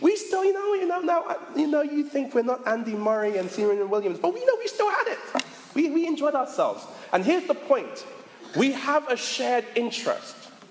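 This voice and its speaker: A man speaks at a moderate pace with an extremely high pitch and very wide pitch swings. Noticeable background noise runs underneath. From Caribbean heritage (Jamaican and Barbadian parents). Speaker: pastor. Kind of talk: sermon. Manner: repeats words when starting sentences.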